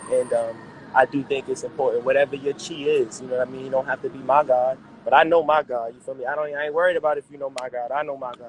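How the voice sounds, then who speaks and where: A man with a New York accent talks at a very fast pace and a fairly high pitch, his intonation monotone and flat. His loudness swings widely, and there is noticeable background noise. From New York City, Harlem. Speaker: rapper. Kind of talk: casual interview.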